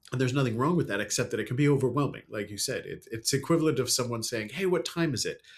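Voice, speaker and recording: Recorded very cleanly against a silent background, a man with an American accent sounds somewhat breathy, with a medium pitch and lively intonation. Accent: learned American accent, natively British. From UK. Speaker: storyteller and speaker. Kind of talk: podcast interview.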